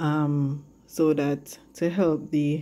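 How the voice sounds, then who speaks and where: A woman speaks in a very deep, low pitch with a dark, mellow tone. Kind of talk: tutorial. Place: kitchen. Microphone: phone near.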